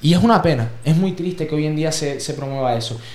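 Noticeable background noise surrounds this man. He talks at a fairly quick pace with a fairly high pitch. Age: 20s. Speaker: podcast host. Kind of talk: casual chat.

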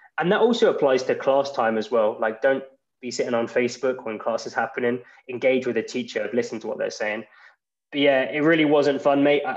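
A man speaks with an English accent at a fairly quick pace. The background is quiet. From England. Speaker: English graduate and podcaster. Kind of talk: casual interview.

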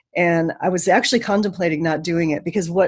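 A woman with an American accent, fairly low-pitched, at a very fast pace. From Chicago, US Midwest. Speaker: yoga teacher. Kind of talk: casual interview chat. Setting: video call.

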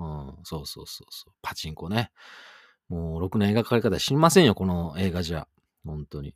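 In a very clean recording with a silent background and a dry, close sound with no echo, a man speaks fairly quickly in a very deep, low voice, with ordinary pitch variation and big swings in loudness. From western Japan. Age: 40s. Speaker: radio DJ. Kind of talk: solo radio talk. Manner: casual, chatty.

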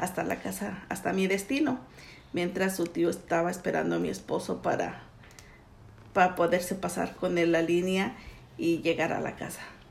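A woman with vocal fry speaks at a moderate pace in a fairly low pitch, with fairly even intonation. Audible room echo is present. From Mexico City. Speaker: immigrant mother interviewed by daughter. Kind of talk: family interview. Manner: halting, with hesitations.

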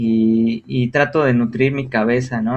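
This man's voice sits at a medium pitch and keeps a monotone, flat intonation. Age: 20s. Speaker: psychology student and guest lecturer on art history. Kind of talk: casual educational talk.

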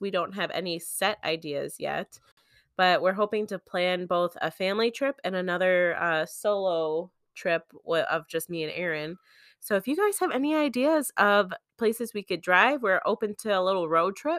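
Woman with an Upper Midwest accent and ordinary pitch variation. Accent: Upper Midwest American. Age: 20s. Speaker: podcast host. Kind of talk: casual chat.

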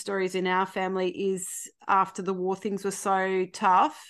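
A woman speaks in an Australian accent at a moderate pace with a quiet background behind her. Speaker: podcast guest. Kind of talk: casual chat.

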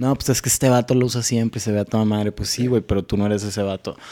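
The man's voice has a dark, mellow tone. His intonation stays fairly even. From Sonora, Mexico (San Carlos). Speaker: mental health talk show host and musician. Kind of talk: casual chat.

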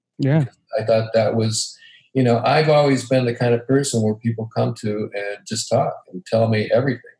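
His tone dark and mellow, a man speaks somewhat breathily at a medium pitch with fairly even intonation. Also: moderate pace. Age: 60s. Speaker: podcast guest. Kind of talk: casual conversation. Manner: halting.

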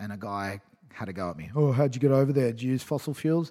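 This man has an Australian accent. His pitch sits in the medium range. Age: 30s. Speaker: environmental campaigner. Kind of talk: casual chat. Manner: animated.

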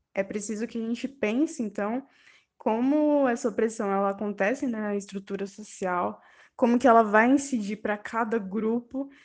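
A woman talks in a normal speaking voice at a fairly high pitch and a moderate pace. Her pitch varies in an ordinary way against a quiet background. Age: 20s. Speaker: university student. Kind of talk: recorded testimony.

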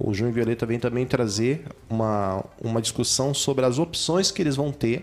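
Using an ordinary speaking voice, a man talks at a medium pitch with ordinary pitch variation. His pace is moderate. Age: 40s. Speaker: city councillor. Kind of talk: radio interview. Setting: radio studio.

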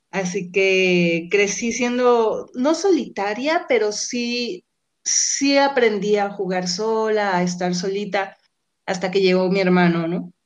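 Over a quiet background, a woman speaks very slowly with ordinary pitch variation. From Mexico, Guadalajara and Colima. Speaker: graduate student and radio communicator. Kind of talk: interview.

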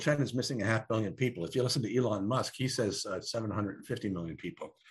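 Somewhat breathy, a man speaks at a very fast pace with ordinary pitch variation against a quiet background. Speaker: demographer and futurist. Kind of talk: interview. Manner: halting, many fillers and repetitions.

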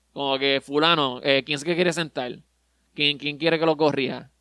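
In a Puerto Rican accent, a man speaks with a bright, sharp tone, fairly high pitch and fairly even intonation, recorded very clean with a silent background and a dry, close sound with no echo. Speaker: podcast co-host. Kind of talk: casual chat. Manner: halting.

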